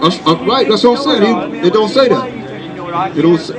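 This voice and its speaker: A man speaks over noticeable background noise. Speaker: religious teacher. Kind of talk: religious debate.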